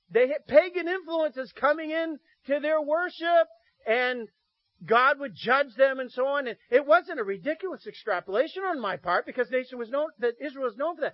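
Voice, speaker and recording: Lively intonation marks this man's extremely high-pitched voice. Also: moderate pace. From Maine, Piscataquis County. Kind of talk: sermon. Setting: church.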